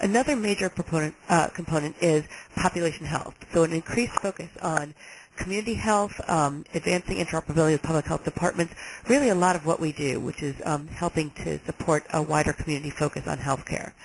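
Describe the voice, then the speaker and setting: Over noticeable background noise, a woman with an American accent talks at a very fast pace in a fairly low pitch with ordinary pitch variation. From New York. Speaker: health agency director. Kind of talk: webinar presentation. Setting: webinar.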